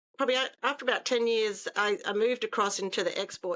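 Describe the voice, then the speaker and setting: Talking at a very fast pace, a woman with an Australian accent has a bright, sharp tone and fairly even intonation. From Australia, Darwin. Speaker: trade consultant. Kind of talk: interview.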